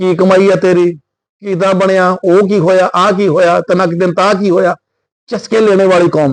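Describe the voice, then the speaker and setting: The man's voice is high in pitch. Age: 60s. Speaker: online preacher and commentator. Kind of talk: monologue vlog. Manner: animated.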